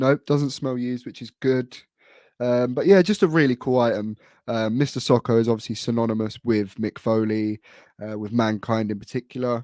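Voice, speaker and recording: A man with a British accent speaks at a moderate pace in a dark, mellow tone, with medium pitch, ordinary pitch variation and big swings in loudness. The recording is very clean with a silent background, and the sound is dry and close with no echo. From UK. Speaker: wrestling collector, YouTuber. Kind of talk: casual show-and-tell vlog. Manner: hesitant, many fillers.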